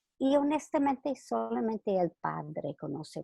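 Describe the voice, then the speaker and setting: A woman with a non-native accent speaks at a fairly slow pace in a dry, close sound with no echo. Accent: foreign accent in Spanish. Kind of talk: religious talk read from manuscript. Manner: reading closely from script, occasional stumbles.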